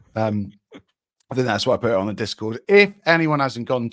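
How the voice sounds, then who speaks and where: With a Cornish accent, a man speaks at a fairly quick pace in a medium-pitched voice with lively intonation and a dry, close sound with no echo. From Cornwall, England. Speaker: football YouTuber. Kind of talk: casual chat.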